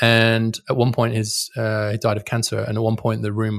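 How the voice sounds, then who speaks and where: In a British accent, a man speaks at a fairly quick pace and medium pitch, his intonation monotone and flat, the sound dry and close with no echo against a quiet background. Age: 50s. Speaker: policy scholar and author. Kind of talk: interview.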